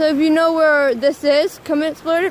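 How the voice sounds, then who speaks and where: At a moderate pace, the voice comes through dry with no echo and light background noise. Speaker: vlogger filming outdoors. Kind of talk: casual vlog chat. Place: waterside. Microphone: phone near.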